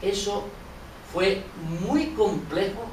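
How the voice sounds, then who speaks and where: A man is heard with audible room echo. Noticeable background noise runs underneath. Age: 60s. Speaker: audience member asking a question. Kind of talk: public question from the floor.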